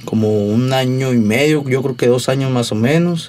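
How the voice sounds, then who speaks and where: Amid noticeable background noise, a man speaks at a fairly slow pace with a medium pitch and ordinary pitch variation. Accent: Sonoran. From Mexico, Sonora (Hermosillo). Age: 20s. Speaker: musician. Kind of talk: casual chat.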